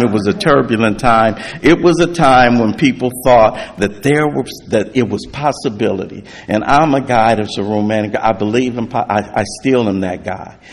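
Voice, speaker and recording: Over noticeable background noise, a man talks at a moderate pace with a medium pitch, ordinary pitch variation and hardly any pauses. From US West Coast, South Central Los Angeles. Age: 60s. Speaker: recovery speaker. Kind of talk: testimony.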